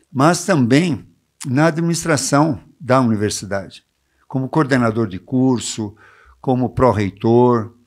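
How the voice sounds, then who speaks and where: Very slow, lively speech from a man at medium pitch, with long, frequent pauses. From Brazil, São Paulo city. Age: 70s. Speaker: retired professor, mayoral pre-candidate. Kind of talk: interview. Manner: halting, with many fillers.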